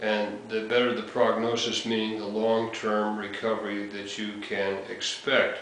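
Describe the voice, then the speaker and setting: A man speaks in a fairly low, monotone, flat voice at a fairly slow pace. The room echo is audible and there is noticeable background noise. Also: hardly any pauses. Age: 60s. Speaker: heart surgery patient and blogger. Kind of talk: casual talk to camera. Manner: halting, many fillers.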